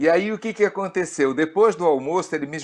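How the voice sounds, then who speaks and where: Lively intonation marks this man's speech. He keeps a moderate pace over a quiet background. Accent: Rio de Janeiro. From Rio de Janeiro, Brazil (moved from Pará at six). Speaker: pastor. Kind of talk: interview, personal testimony.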